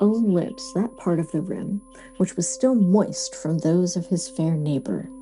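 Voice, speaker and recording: With music in the background, a woman speaks at a fairly slow pace in a gentle, soothing tone and lively intonation. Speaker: audiobook narrator. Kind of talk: sleep story, classic literature reading. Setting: studio, with quiet background music. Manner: gentle, soothing, calm.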